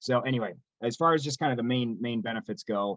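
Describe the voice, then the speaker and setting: A man does the talking. He moves along at a fairly quick clip. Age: 30s. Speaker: strength and conditioning coach. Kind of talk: webinar presentation. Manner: fast.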